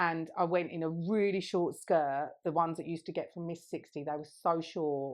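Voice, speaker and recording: Speaking at a fairly quick pace, a woman with an English accent and a fairly low pitch keeps her intonation fairly even. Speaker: podcast co-host. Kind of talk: casual chat.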